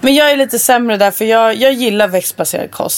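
A woman talks at a fairly quick pace in a fairly high voice. Her pitch varies in an ordinary way, and there is noticeable background noise. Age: 20s. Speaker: podcast co-host. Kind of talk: casual chat.

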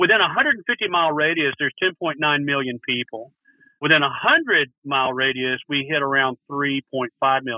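At a moderate pace, a man with a Texan accent talks in a fairly high pitch. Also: ordinary pitch variation. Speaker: brewery and restaurant owner. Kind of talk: interview.

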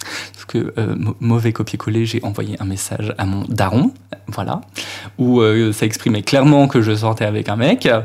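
Noticeable background noise sits under the speech. The pace is moderate and the intonation fairly even. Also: man, medium pitch for a man. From Brittany, Finistère, France. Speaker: drag queen. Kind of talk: casual chat.

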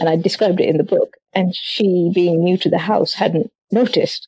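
A woman's medium-pitched, somewhat breathy voice with a dark, mellow tone and ordinary pitch variation. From Sri Lanka, then West Yorkshire from about 16. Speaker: romance novelist. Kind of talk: interview.

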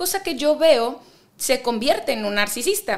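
A woman talks at a moderate pace with a northwestern Mexican accent. Her pitch is high. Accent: northwestern Mexican (Baja California). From Ensenada, Baja California, Mexico. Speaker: psychotherapist. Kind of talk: interview.

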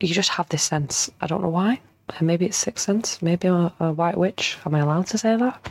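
A woman talks at a fairly low pitch with a slightly mellow tone. Her voice has vocal fry and a slightly husky edge. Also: ordinary pitch variation, moderate pace.

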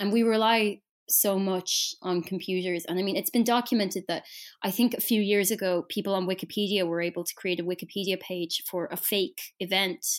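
A woman with an Irish accent speaks at a medium pitch and a fairly quick pace. Her intonation is fairly even, on a very clean recording with a silent background. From Ireland. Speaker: journalist. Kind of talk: interview.

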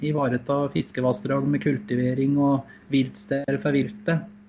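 A man with a fairly high pitch speaks in a normal speaking voice with ordinary pitch variation. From eastern Norway, Finnskogen. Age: 30s. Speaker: hunting association chairman. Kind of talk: interview.

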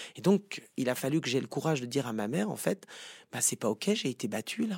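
A man talks at a fairly quick pace in a normal speaking voice, fairly high in pitch, with lively intonation. The recording is very clean with a silent background and a dry, close sound with no echo. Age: 50s. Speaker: psychotherapist. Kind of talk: interview.

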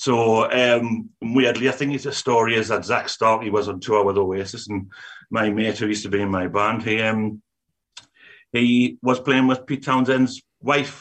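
Man's unremarkable speaking voice at medium pitch and a moderate pace, with fairly even intonation. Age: middle-aged. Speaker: music industry manager. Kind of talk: casual chat.

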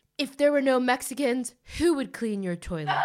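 A woman's high voice with an American accent, at a moderate pace. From United States. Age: 30s. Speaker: podcast host. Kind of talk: casual chat. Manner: animated.

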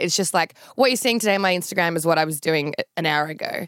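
On a very clean recording with a silent background, a woman with an Australian accent and a fairly low pitch talks at a very fast pace. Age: 30s. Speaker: reality TV personality and social media influencer. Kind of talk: casual interview.

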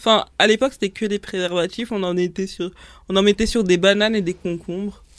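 A woman has a plain, everyday voice at a medium pitch. She talks fairly quickly with fairly even intonation. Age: 20s. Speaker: student and influencer. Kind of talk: casual chat.

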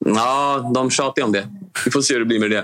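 This man's intonation is fairly even. He speaks at a fairly quick pace. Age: 30s. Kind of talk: interview.

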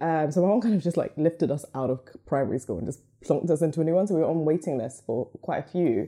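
Very fast and dark, mellow in tone, a woman speaks at a very deep, low pitch with a southern English accent. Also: ordinary pitch variation. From England, Luton. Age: young. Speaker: podcast network co-founder. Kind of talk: casual interview.

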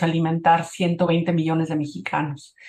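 A woman speaks in a fairly low pitch. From Mexico, Cuernavaca. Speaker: photographer and conservationist. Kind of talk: interview.

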